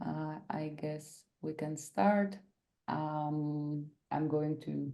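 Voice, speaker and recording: A woman with a Bulgarian accent, a very deep, low pitch, a dark, mellow tone, fairly even intonation and a very slow pace. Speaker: workshop facilitator. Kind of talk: workshop presentation. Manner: hesitant, many fillers.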